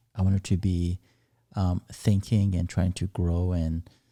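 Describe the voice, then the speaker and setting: A man talks at a very deep, low pitch, his somewhat breathy voice dark and mellow, with fairly even intonation. The sound is dry and close with no echo, on a very clean recording with a silent background. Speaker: podcast co-host. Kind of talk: casual podcast conversation.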